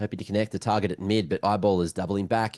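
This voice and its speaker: A man with an Australian accent speaks in a fairly low pitch, with an animated tone at a moderate pace. The sound is dry and close, with no echo. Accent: thick Australian. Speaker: esports commentator. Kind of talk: live commentary.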